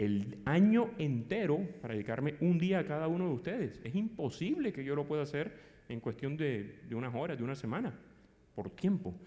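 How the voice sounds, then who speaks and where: Swinging very widely in pitch, a man speaks fairly high with a dark, mellow tone amid audible room echo. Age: 50s. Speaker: psychologist and conference speaker. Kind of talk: lecture. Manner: fast.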